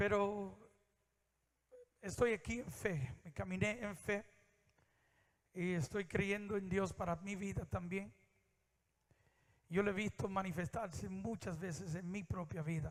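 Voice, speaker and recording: A man's high voice with ordinary pitch variation, at a fairly slow pace with long, frequent pauses. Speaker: preacher. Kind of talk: sermon.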